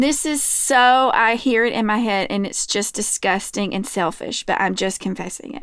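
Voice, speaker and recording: This woman has a plain, everyday voice with a fairly high pitch and an American accent. Her pitch varies in an ordinary way, and the recording is very clean with a silent background. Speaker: podcast co-host. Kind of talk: casual chat.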